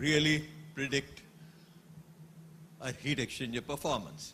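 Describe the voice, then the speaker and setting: A man's fairly high, bright, sharp voice with vocal fry, at a fairly slow pace. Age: 60s. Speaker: engineering company executive. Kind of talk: conference talk.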